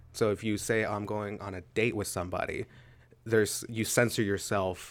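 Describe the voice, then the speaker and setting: In a very clean recording with a silent background, a man with an unremarkable speaking voice talks at a moderate pace with an American accent, his fairly low pitch carried on fairly even intonation. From Pittsburgh, Pennsylvania. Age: 20s. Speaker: freelance videographer. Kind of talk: casual chat.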